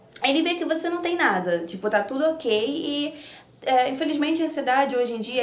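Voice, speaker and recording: Over noticeable background noise, a woman speaks with a high pitch. Her intonation is lively. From Italy. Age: 20s. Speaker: nursing student. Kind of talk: casual talk to camera.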